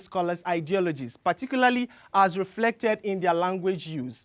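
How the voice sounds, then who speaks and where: Over a silent background in a very clean recording, the speaker talks with a Yoruba accent. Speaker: graduate student. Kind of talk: competition research talk.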